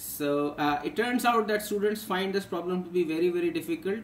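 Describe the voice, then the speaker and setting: A man talks at a moderate pace with fairly even intonation. Audible room echo and light background noise come through. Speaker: physics teacher. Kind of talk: tutorial. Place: home room. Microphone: webcam.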